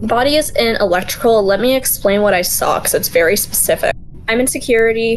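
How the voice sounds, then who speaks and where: Speaking very fast at a fairly high pitch, a woman is heard over noticeable background noise. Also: ordinary pitch variation, very even loudness. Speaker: online gamer. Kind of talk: casual chat. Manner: hard to understand.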